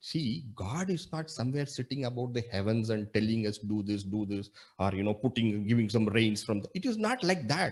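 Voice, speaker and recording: With a Tamil accent, a man talks at a moderate pace and medium pitch, his voice somewhat breathy, his intonation lively and hardly any pauses. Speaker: monk and spiritual teacher. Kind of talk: spiritual discourse. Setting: video call.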